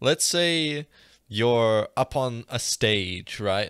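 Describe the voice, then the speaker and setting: A normal speaking voice with an American accent comes through on a very clean recording with a silent background. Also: man. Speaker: podcast co-host. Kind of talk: casual chat; role-play game narration.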